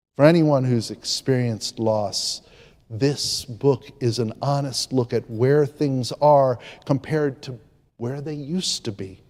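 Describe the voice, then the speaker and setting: A man's ordinary speaking voice, medium in pitch, with ordinary pitch variation and a fairly slow pace. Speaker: preacher. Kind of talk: sermon delivered to a congregation. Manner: reflective, conversational, with pauses and filler words.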